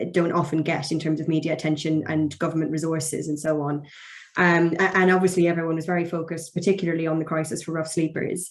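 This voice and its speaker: This woman talks at a very fast pace. Her pitch is fairly low and her intonation is monotone and flat. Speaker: barrister. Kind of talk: webinar presentation.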